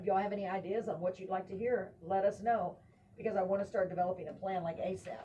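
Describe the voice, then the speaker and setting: With an American accent, a woman talks at a very fast pace and medium pitch. Her voice is somewhat breathy and her intonation fairly even. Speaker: talk show host. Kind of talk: casual chat. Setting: live stream.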